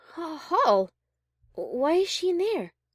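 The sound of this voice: A woman puts on a character voice, extremely high in pitch with big pitch swings at a slow pace. The sound is dry and close, with no echo.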